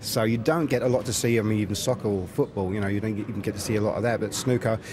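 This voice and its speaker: A man talking at a very fast pace, fairly low in pitch, over noticeable background noise. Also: fairly even intonation. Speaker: spectator. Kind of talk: casual interview. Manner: halting, many fillers.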